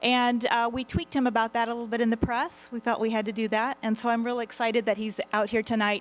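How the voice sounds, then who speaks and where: A woman is speaking. She talks at a very fast pace. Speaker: candidate. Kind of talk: opening statement at a public forum. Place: hall. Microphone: podium.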